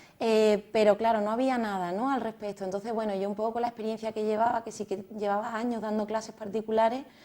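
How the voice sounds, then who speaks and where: In a Cádiz Andalusian accent, a woman with a fairly high pitch and a dark, mellow tone speaks at a very fast pace with hardly any pauses and monotone, flat intonation. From Cádiz, Andalusia, Spain. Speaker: music method founder, pianist and architect. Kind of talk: TV interview.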